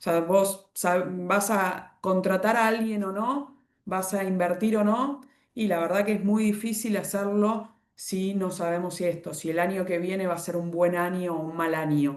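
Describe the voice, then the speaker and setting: Here a woman speaks at a medium pitch and fairly slow pace. Her intonation is fairly even. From Argentina. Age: 40s. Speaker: economist. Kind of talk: online presentation with slides. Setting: video call. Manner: halting, self-correcting.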